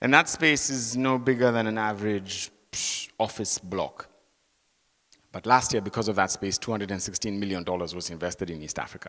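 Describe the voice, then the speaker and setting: A man talks at a very fast pace with a bright, sharp tone and lively intonation. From Kenya. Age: 30s. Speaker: tech entrepreneur and guest speaker. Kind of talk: talk to an audience.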